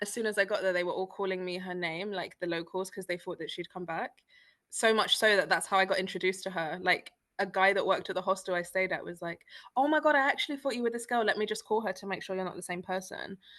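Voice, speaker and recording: With a British accent, a woman talks at a very fast pace in a bright, sharp tone. Her pitch is medium with ordinary variation, and the background is quiet. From East London, England. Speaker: freelance copywriter and traveler. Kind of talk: casual interview chat. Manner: animated.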